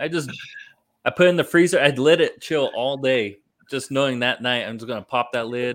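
In a very clean recording with a silent background, a man with an American accent talks at a fairly quick pace in a fairly high pitch, with ordinary pitch variation and an ordinary speaking voice. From California. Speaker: podcast host, navy veteran. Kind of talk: casual chat. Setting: at home, in his son's room.

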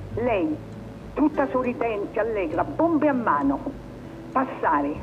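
Very wide pitch swings mark this very slow delivery, full of long, frequent pauses over noticeable background noise. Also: woman, fairly high pitch for a woman. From Italy, Rome. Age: 90s. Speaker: former partisan courier. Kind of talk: testimony. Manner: halting.

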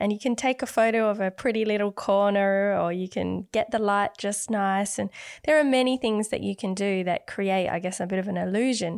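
This woman has a plain, everyday voice, speaking at a medium pitch and a moderate pace. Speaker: artist and art podcast host. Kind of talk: casual chat. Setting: home recording.

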